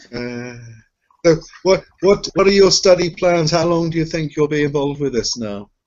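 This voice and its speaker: A man with a British accent speaks at a moderate pace in a fairly high pitch, with ordinary pitch variation. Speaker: accreditation reviewer. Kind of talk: interview.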